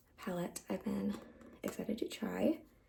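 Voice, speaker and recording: A soft-spoken woman talks in a relaxed tone. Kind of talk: ASMR get ready with me, casual talk to camera. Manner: soft-spoken, relaxed.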